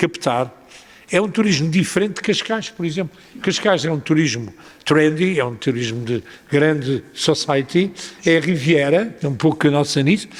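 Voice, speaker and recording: This man has a fairly high voice and a European Portuguese accent. His pitch varies in an ordinary way. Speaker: mayor. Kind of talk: panel discussion answer. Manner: hesitant, many filler sounds.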